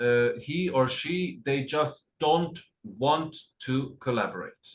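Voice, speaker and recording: A man speaks in a medium pitch. His voice is somewhat breathy. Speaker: costume designer. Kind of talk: lecture. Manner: halting.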